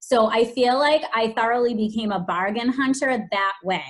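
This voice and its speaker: In a strong Boston accent, a woman speaks with a fairly high pitch. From Boston, Massachusetts. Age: 40s. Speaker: special education teacher and fashion blogger. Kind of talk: podcast interview.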